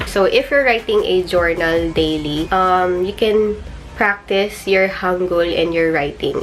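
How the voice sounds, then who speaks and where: Over noticeable background noise, a woman with a Filipino accent speaks at a fairly slow pace with ordinary pitch variation. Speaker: YouTuber, language learner. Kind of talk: tutorial vlog. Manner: casual, hesitant with fillers.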